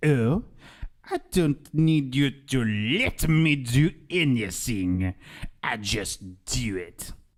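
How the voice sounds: A man uses a put-on character voice at a medium pitch. He speaks at a very slow pace.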